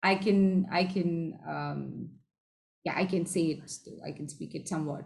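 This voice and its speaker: Speaking at a fairly slow pace, a woman with a fairly low, somewhat breathy voice keeps her intonation fairly even while her loudness swings widely. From southern India. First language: Tamil and Malayalam. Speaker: improv performer and teacher. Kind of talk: casual interview. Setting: video call.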